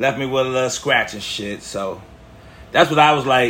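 A man speaks at a moderate pace. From Chicago, Illinois. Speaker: first-time podcaster. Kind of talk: storytelling monologue. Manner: animated; casual, slangy.

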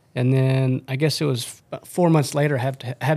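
A man speaks at medium pitch and a moderate pace. His intonation is flat and monotone. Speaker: podcast host, outdoor video producer. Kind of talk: casual chat.

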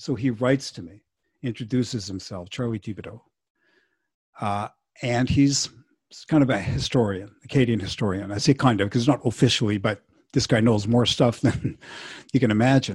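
On a very clean recording with a silent background, a medium-pitched man speaks fairly quickly but with long, frequent pauses. His voice is somewhat breathy, with ordinary pitch variation and big swings in loudness. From Montreal. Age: 60s. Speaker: musician. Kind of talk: casual chat.

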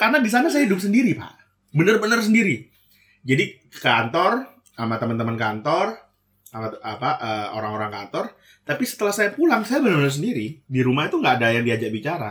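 A man's fairly high voice, very fast pace and very wide pitch swings. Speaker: podcast co-host. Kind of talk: casual chat.

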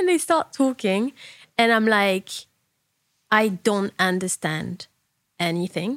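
Woman at medium pitch, very slow, with long, frequent pauses and lively intonation, in dry, close sound with no echo. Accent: French. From southern France. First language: French. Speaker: fashion stylist and podcast host. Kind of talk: casual chat.

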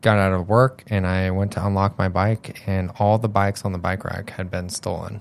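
A man talks at a moderate pace in a fairly low pitch. His is a normal speaking voice with fairly even intonation. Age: 20s. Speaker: real estate agent, host's younger brother. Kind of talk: casual chat.

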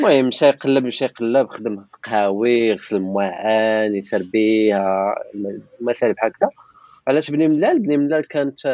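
A man's normal speaking voice at medium pitch and moderate pace, with a dry, close sound and no echo. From Morocco, Beni Mellal. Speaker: topographic engineer and photographer. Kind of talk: casual interview.

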